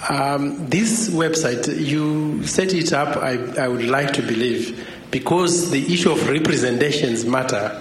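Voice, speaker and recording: There is noticeable background noise and audible room echo as a man talks fairly slowly at a fairly high pitch with ordinary variation. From Zimbabwe. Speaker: academic. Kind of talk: audience question.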